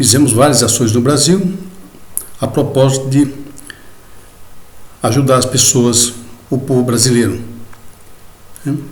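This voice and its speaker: The speaker moves at a fairly slow pace, leaving long and frequent pauses, with fairly even intonation. Noticeable background noise and audible room echo surround the voice. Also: man, medium pitch for a man. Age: 70s. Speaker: journalist and lawyer. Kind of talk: video lecture to fellow masons. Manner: hesitant, conversational with fillers.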